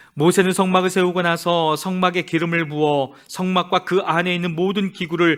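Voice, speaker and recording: On a very clean recording with a silent background, a man with a high pitch talks at a moderate pace with ordinary pitch variation. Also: hardly any pauses. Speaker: church Bible reader. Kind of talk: reading aloud. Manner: steady measured reading.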